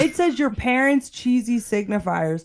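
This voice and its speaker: A woman with an American accent speaks at a high pitch with very wide pitch swings. The recording is very clean and the background silent. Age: 30s. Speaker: juvenile justice clinician. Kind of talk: casual chat.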